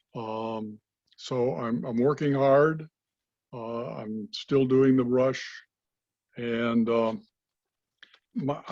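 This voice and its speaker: A man at a very slow pace, with fairly even intonation and long, frequent pauses. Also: medium pitch for a man. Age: 80s+. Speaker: patient. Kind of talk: interview. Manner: halting.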